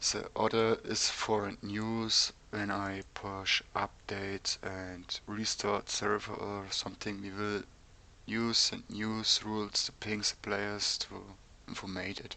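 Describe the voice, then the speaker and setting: Speaking very slowly in a German accent, a man keeps a flat, monotone intonation with a bright, sharp tone. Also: fairly low pitch for a man. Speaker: game server developer. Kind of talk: tutorial. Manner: halting, many ums.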